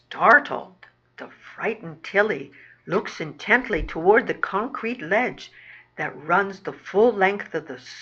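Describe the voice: The clip is plain reading aloud. Text gets read out with nothing more.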